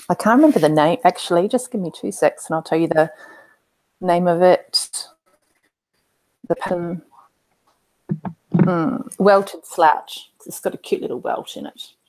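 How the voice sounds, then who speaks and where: With an Australian accent, a woman speaks at a medium pitch and a fairly slow pace, her lively intonation marked by big swings in loudness and long, frequent pauses. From Australia, Queensland. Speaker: tabletop game player. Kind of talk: casual chat. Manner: halting, many fillers.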